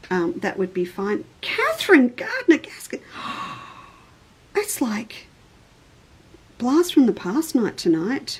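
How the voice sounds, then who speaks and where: Speaking very slowly with long, frequent pauses, a woman with an Australian accent uses a high pitch and very wide pitch swings over noticeable background noise. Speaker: quilting shop owner and online show host. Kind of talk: live stream chat. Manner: formal.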